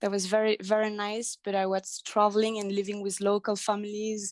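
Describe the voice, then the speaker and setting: The recording sounds dry and close, with no echo. A woman talks at a medium pitch. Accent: French. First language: French. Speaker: life coach. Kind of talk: interview. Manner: halting.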